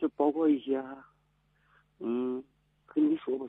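The man's fairly even intonation rests on a medium pitch as he talks at a moderate pace. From Heilongjiang. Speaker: firefighter. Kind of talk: phone-in call. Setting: phone call. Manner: halting.

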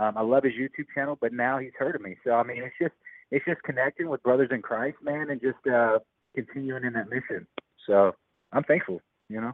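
A man with a plain, everyday voice speaks at a medium pitch and a fairly quick pace, using ordinary pitch variation. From North Carolina. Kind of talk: casual chat.

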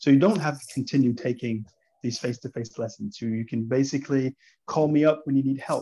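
Speaking with an American accent, a man has a fairly high pitch and a dark, mellow tone that is somewhat breathy. He talks at a fairly quick pace. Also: ordinary pitch variation. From US South, Atlanta, Georgia. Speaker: English teacher. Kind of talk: casual interview. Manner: hesitant, many fillers.

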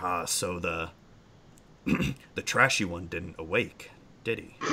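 Using a put-on character voice, a man speaks at a fairly slow pace, his very deep, low pitch raspy. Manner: sneering.

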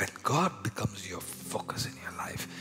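Whispering in an Indian accent, the speaker uses a passionate tone. Music plays in the background. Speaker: preacher. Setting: church sermon. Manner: passionate, emphatic sermon delivery.

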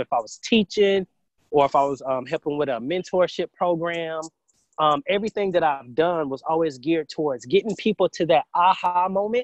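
In a Southern US accent, a man speaks at a moderate pace with ordinary pitch variation. The sound is dry and close with no echo, and the background is quiet. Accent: US South. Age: 20s. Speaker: entrepreneur and medical researcher. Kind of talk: interview.

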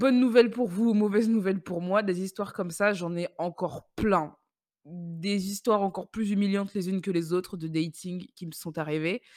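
The tone is animated, with ordinary pitch variation at a moderate pace. The recording is very clean, with a silent background. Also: woman, medium pitch for a woman, dry, close sound with no echo. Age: 20s. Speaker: podcaster. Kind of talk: casual monologue, personal storytelling. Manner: animated, laughing often.

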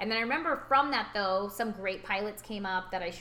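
Over noticeable background noise, a woman with an American accent and a medium-pitched voice talks at a fairly quick pace in an animated tone. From California. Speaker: podcast co-host. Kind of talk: casual interview chat.

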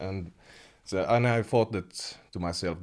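A man with a Finnish accent on a very clean recording with a silent background. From Finland, Kemi (Sea Lapland). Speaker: metal keyboardist. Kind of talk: interview.

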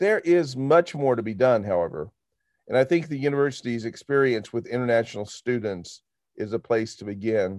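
At a moderate pace and medium pitch, a man with an American accent talks in an unremarkable speaking voice over a quiet background. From Arkansas, US South. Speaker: university administrator and podcast host. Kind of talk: podcast discussion with book reading.

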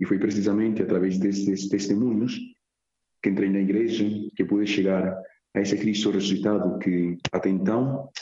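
Speaking with a Spanish accent, a man at a fairly low pitch keeps a moderate pace and fairly even intonation. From Colombia, Medellín. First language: Spanish (speaking Portuguese). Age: 20s. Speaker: seminarian about to be ordained deacon. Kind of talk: radio interview.

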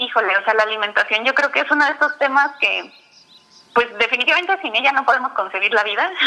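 A woman's voice with ordinary pitch variation. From Mexico City. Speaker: nutritionist and diabetes educator. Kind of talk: interview. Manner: halting, repeats words.

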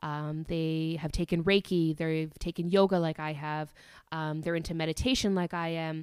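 The recording is very clean, with a silent background. A woman speaks at a moderate pace in a fairly low, flat monotone. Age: 30s. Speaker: podcaster. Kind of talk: personal monologue. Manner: hesitant, many fillers.

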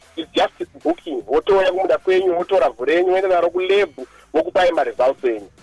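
Talking at a very fast pace, a man with a high pitch and ordinary pitch variation is heard in a dry, close sound with no echo, with music in the background. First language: Shona. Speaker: agronomist. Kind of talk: radio interview.

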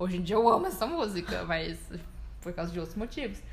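Very fast talk from a woman at a fairly high pitch, with audible room echo. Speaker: podcast co-host. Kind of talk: casual chat. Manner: animated.

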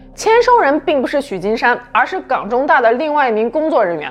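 A woman speaks in a serious tone at a fairly quick pace, her pitch swinging very widely, with noticeable background noise behind her. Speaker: true-crime podcast narrator. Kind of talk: true-crime narration, scripted storytelling. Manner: measured, even and serious, steady suspenseful storytelling.

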